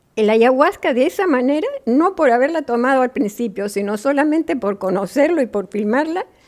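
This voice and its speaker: A woman with a high pitch talks with very wide pitch swings and hardly any pauses. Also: moderate pace. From Peru, Lima. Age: 80s+. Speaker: filmmaker. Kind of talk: interview. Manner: halting.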